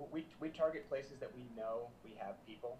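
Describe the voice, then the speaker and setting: Speaking with an American accent in a plain, everyday voice, a man keeps a medium pitch, a moderate pace and ordinary pitch variation. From US South, South Florida. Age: 30s. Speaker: musician and producer. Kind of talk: casual interview chat.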